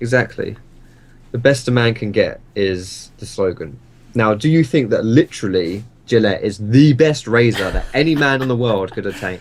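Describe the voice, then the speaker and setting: With an Essex accent, a man talks at a moderate pace with ordinary pitch variation. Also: medium pitch for a man. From Essex, England. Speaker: gaming YouTuber and streamer. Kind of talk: interview. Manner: animated.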